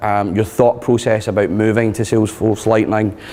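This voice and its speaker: Noticeable background noise behind a man with a strong Scottish accent. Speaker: tech consultant and user group leader. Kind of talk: conference talk. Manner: fast.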